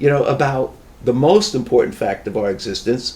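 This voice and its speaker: A man's medium-pitched, somewhat breathy voice at a fairly quick pace. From US Northeast, New York metro area. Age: 70s. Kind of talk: casual chat.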